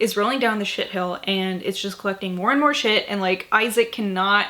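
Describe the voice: Here someone reads plainly aloud.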